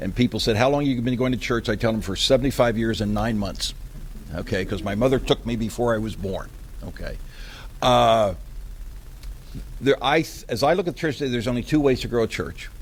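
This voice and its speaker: A man with an American accent talks at a fairly quick pace with vocal fry and ordinary pitch variation, breaking often into long pauses. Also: medium pitch for a man. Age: 70s. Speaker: church consultant. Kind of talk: workshop presentation.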